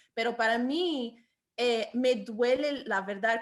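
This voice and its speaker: A woman speaks with ordinary pitch variation, her voice placed fairly high. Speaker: podcast co-host. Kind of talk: podcast interview question.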